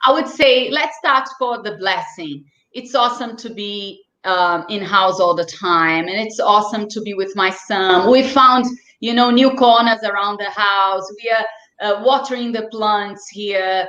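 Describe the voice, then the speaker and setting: In a room with audible echo, a woman speaks fairly slowly in a bright, sharp tone, her pitch fairly high with ordinary variation. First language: not English. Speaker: children's sports and swimming instructor. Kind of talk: interview. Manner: animated.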